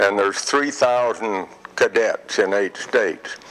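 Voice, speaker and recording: A man with an American accent at a fairly slow pace, amid noticeable background noise. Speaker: retiree telling life story. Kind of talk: interview storytelling. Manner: halting.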